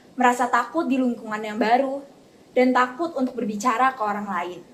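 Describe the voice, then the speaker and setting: A woman speaks at a fairly quick pace with a West Javanese accent. Her pitch is high and varies in an ordinary way. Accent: Sundanese. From West Java (Bogor), Indonesia. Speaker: university student interviewee. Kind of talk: interview testimony.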